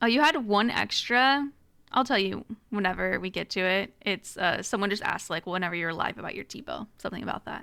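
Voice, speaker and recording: With an American accent, a woman talks at a fairly quick pace. Her tone is bright and sharp, with vocal fry. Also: medium pitch for a woman, lively intonation, very clean recording, silent background. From Northern California. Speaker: podcast co-host. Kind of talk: podcast Q&A chat.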